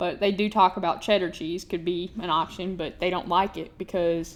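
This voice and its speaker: This woman talks at a fairly quick pace. Her pitch is medium and her intonation fairly even. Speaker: teacher. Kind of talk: recorded lesson for students. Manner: casual; fast.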